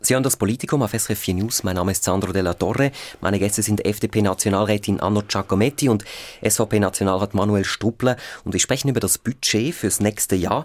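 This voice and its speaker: A man speaks fairly quickly in a fairly low pitch, an unremarkable speaking voice with ordinary pitch variation. His loudness stays very even, and the sound is dry and close with no echo. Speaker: radio news host. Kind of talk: radio political discussion.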